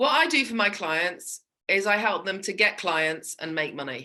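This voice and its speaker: Bright and sharp in tone, a woman talks with ordinary pitch variation on a very clean recording with a silent background. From England. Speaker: small business sales coach. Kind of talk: interview.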